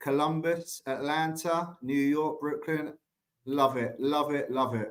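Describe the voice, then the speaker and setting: A man with an English accent at a very slow pace. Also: fairly high pitch for a man, fairly even intonation. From England, London. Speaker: staffing company president. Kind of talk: conference talk.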